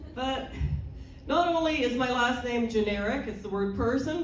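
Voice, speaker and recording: Audible room echo and noticeable background noise surround a woman whose fairly high voice carries lively intonation. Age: 60s. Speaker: stand-up comedian. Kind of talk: stand-up.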